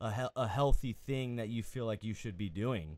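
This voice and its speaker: Ordinary pitch variation in an ordinary speaking voice. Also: man. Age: 20s. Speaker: podcast co-host and counselor. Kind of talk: casual interview chat.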